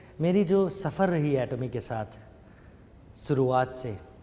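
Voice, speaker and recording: There is noticeable background noise behind this man. His voice sits at a fairly high pitch with lively intonation. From Northeast India, Shillong, Meghalaya. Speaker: network marketing distributor. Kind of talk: seminar testimony. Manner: halting, with fillers.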